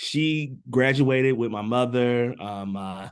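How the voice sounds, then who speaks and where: Mid-range male voice, its pitch moving up and down in a normal way. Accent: Southern US. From US South, Birmingham, Alabama. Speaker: education program facilitator. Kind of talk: online info session, group discussion. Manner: casual, hesitant with many fillers.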